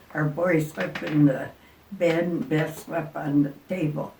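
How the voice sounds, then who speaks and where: Amid noticeable background noise and audible room echo, a woman with a very deep, low voice speaks with ordinary pitch variation. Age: 80s+. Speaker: retired RV traveler. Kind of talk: casual chat. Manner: halting.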